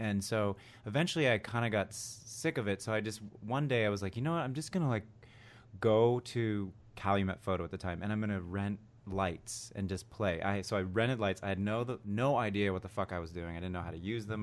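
A man talks at a fairly quick pace in a normal speaking voice, fairly low in pitch with ordinary pitch variation. The recording is very clean with a silent background. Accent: American. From US, mainly New Jersey and Cleveland. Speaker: musician and photographer. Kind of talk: casual chat.

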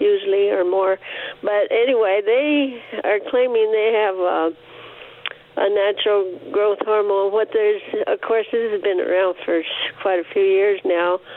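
The speech comes at a fairly slow pace with very even loudness and fairly even intonation, over noticeable background noise. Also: woman, medium pitch for a woman. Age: 80s+. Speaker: caller. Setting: phone call. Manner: halting.

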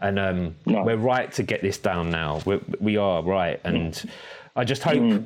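Speaking at a fairly low pitch, a man shows ordinary pitch variation. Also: moderate pace. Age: 40s. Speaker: podcast host and artist. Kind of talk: casual interview conversation. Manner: animated.

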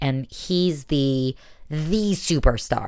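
A woman's very deep, low voice, animated in tone with lively intonation. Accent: American. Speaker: podcast host. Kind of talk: casual banter podcast chat. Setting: Israel, remote recording. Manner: animated, sarcastic.

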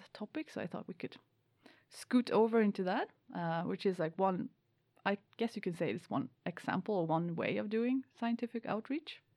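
A woman speaks with a Swedish accent. Her medium-pitched voice has a dark, mellow tone. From Sweden. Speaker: PhD student and podcast host.

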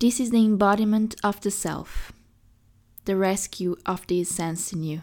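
In an ordinary speaking voice, a woman talks at a medium pitch with fairly even intonation, on a very clean recording with a silent background. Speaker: podcast host and poet. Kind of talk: poem reading, performed aloud; reading aloud of a poem, then casual sign-off. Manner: slow, measured, lyrical and contemplative.

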